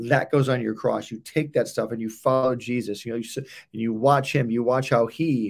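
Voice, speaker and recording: A man talks at a moderate pace in a plain, everyday voice, his medium pitch held to fairly even intonation. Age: 50s. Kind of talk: casual chat about marriage and faith.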